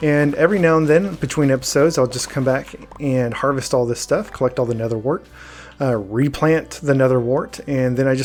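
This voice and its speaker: Noticeable background noise is audible here. A man talks over it at a fairly quick pace. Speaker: gaming youtuber. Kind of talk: let's play commentary. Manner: halting.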